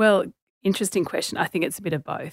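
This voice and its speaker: A woman with an Australian accent speaks with ordinary pitch variation. The recording is very clean, with a silent background and a dry, close sound with no echo. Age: 40s. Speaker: author and journalist. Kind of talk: interview.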